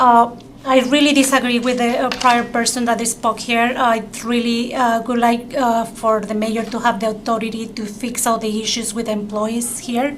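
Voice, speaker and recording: Against noticeable background noise and audible room echo, a woman with a strong non-native accent speaks at a moderate pace in a fairly high, monotone, flat voice. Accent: strong foreign. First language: not English. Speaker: public testifier at city council. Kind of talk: public testimony. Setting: city council chambers. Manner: halting, many fillers.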